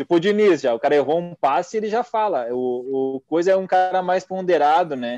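With a dark, mellow tone and a high pitch, a man talks at a fairly quick pace with lively intonation and hardly any pauses, in a dry, close sound with no echo. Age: 30s. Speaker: football podcast co-host. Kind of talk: casual chat.

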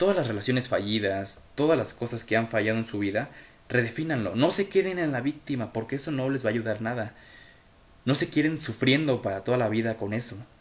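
At a fairly quick pace, a man with a Mexican accent speaks in a medium pitch with an animated tone and lively intonation. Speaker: podcaster and amateur writer. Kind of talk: motivational monologue. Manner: halting, self-correcting speech; animated, emphatic.

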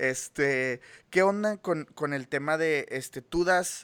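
A man's fairly high voice with a Mexican accent and ordinary pitch variation, in a dry, close sound with no echo. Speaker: podcast host. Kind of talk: interview. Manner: hesitant, many fillers.

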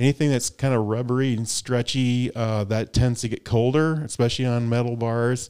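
Dark and mellow in tone, a man at medium pitch with a Midwestern American accent talks at a moderate pace in a flat monotone, with hardly any pauses. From US Midwest. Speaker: gravel cycling podcast host. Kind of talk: casual chat.

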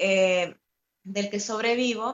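A woman speaks at a fairly slow pace. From Nicaragua. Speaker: activist and musician in exile. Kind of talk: interview. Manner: halting.

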